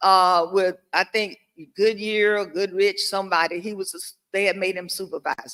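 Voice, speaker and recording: A woman with a Southern US accent speaks at a moderate pace in a medium pitch, her bright, sharp tone carrying fairly even intonation amid big swings in loudness. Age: 70s. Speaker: panelist. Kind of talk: testimony.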